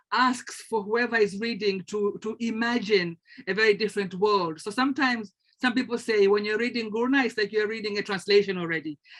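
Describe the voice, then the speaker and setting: Her voice is fairly high for a woman, with fairly even intonation and a Tanzanian accent. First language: Swahili. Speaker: translator and lecturer. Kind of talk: panel discussion. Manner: halting, many repetitions.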